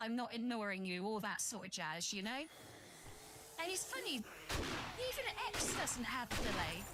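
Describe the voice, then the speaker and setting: Against noticeable background noise, a woman with an English accent speaks at a high pitch and a moderate pace. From southern England. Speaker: VTuber streamer. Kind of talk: casual game-stream chat. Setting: live stream. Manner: chatty, rambling with fillers.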